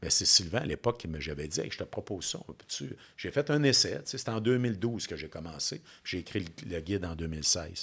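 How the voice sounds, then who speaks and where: Very deep and low, a man's voice moves quickly with very wide pitch swings and big swings in loudness. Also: hardly any pauses. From Quebec, Bas-Saint-Laurent. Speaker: business coach. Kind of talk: interview. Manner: fast; animated.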